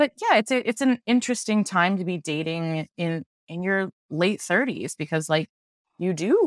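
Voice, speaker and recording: A woman's medium-pitched, plain, everyday voice with lively intonation, at a moderate pace, in a dry, close sound with no echo. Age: 30s. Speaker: veterinary specialist. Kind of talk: casual chat. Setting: remote call.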